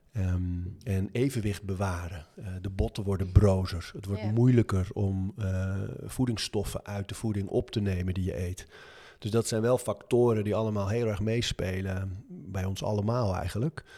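The man's voice is fairly low, with a dark, mellow tone. He speaks at a moderate pace with fairly even intonation. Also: very clean recording, silent background. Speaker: author and gym owner. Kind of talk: interview.

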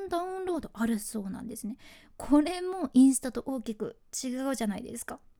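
A woman speaks fairly quickly in a Fukuoka accent, high-pitched with lively intonation. Her tone is dark and mellow, and her loudness swings widely. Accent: Hakata dialect. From Fukuoka (Hakata), Japan. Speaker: freelance announcer, podcast host. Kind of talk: solo podcast explainer.

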